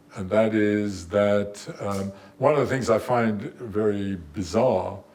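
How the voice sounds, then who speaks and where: Against audible room echo, a man speaks at a fairly low pitch with fairly even intonation. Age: 80s+. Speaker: theoretical physicist. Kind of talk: lecture. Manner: halting.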